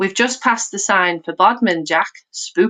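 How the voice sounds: The voice is a natural reading voice, pitch varying an ordinary amount. Behind it, the background is quiet.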